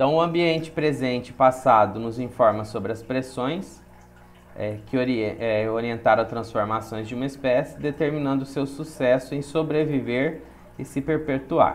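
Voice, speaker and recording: Audible room echo around a man's medium-pitched voice. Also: ordinary pitch variation, moderate pace. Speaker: biology teacher. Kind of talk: lecture.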